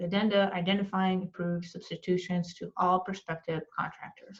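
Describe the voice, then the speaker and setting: This voice belongs to a woman. It comes across as somewhat breathy. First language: not English. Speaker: architecture exam tutor. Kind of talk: tutorial. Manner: slow; hesitant, many fillers.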